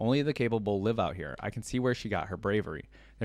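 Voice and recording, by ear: The voice is natural as the text is read aloud.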